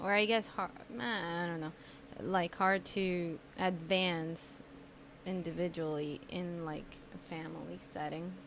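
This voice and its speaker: Against light background noise, a woman speaks with a fairly low voice. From Colombia. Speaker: podcast host. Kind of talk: casual chat. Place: home room. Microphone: studio mic.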